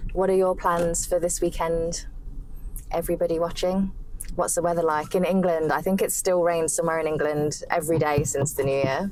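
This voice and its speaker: A woman with a British accent speaks at a fairly quick pace in a fairly low voice. Her intonation is monotone and flat, and there is noticeable background noise. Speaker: English teacher. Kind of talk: casual vlog talk to camera. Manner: fast, fluent.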